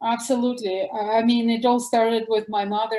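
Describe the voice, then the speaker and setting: A woman with a Russian accent, fairly high in pitch with a dark, mellow tone, at a moderate pace. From former Soviet Union. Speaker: doctor. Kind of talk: interview. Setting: podcast.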